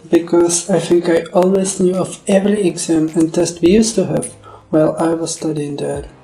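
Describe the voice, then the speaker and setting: A high-pitched man in a Czech accent with monotone, flat intonation at a moderate pace, music in the background. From Czech Republic. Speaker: animator. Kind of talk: scripted narration. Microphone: poor audio quality.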